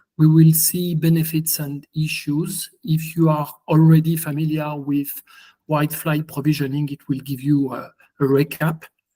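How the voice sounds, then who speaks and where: In a strong French accent, a man speaks at a moderate pace with a fairly high pitch, a dark, mellow tone and monotone, flat intonation. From France. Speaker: software engineer presenting. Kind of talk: conference presentation.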